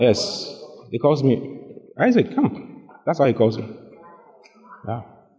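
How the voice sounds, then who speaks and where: A man with a fairly high pitch and lively intonation talks at a fairly slow pace, leaving long, frequent pauses, against noticeable background noise. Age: 30s. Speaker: pastor. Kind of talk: sermon. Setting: church. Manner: animated.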